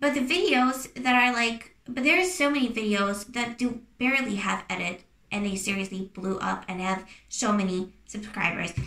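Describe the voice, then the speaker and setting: Noticeable background noise surrounds a woman with a non-native accent. She speaks at a moderate pace with a fairly high pitch and lively intonation. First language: not English. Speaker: YouTuber. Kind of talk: casual advice talk to camera. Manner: hesitant, many fillers and restarts.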